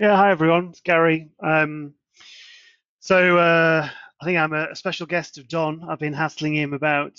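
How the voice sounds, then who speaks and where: The intonation stays monotone and flat. A man with a fairly high voice speaks at a moderate pace. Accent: British. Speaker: software testing professional. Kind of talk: self-introduction in online meeting. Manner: hesitant, many fillers.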